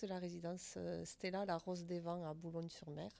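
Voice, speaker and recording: A woman with a slight southern French accent, medium pitch, ordinary pitch variation and a moderate pace. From southern France, Albi. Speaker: senior residence director. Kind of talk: interview.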